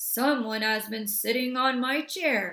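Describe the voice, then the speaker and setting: A woman puts on a raspy character voice pitched high. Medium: read story.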